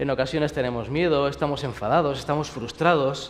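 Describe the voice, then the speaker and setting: A man with a Spanish accent speaks amid noticeable background noise and audible room echo. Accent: Spanish (Spain). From Spain. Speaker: pastor. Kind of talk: sermon.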